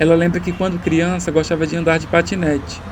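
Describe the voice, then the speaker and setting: A man speaks at a moderate pace in a high pitch with monotone, flat intonation, and background noise is noticeable. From Paraíba, northeast Brazil. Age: 20s. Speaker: documentary director. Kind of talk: scripted narration.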